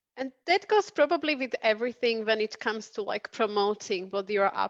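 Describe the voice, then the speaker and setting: Her voice is fairly high, with a non-native accent, and she speaks at a moderate pace. The sound is dry and close with no echo. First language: not English. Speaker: career coach and interviewer. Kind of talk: interview.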